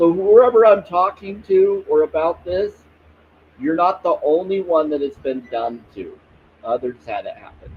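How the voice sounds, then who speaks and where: His loudness shifts in big swings. The man talks at a fairly slow pace. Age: 40s. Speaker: spiritual livestreamer. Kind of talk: casual livestream chat. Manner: relaxing.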